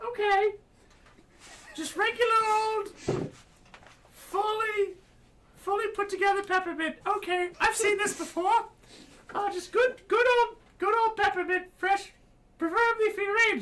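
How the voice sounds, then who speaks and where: A put-on character voice with an extremely high pitch moves at a fairly slow pace, broken by long, frequent pauses. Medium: actual play. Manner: chipper, fussy.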